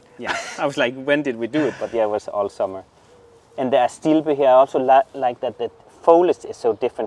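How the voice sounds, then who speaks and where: A man talks at a fairly quick pace in a medium-pitched voice. Background noise is noticeable. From southern Jutland, Denmark. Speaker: gardener, garden channel host. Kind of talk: garden tour, casual chat. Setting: outdoors in garden.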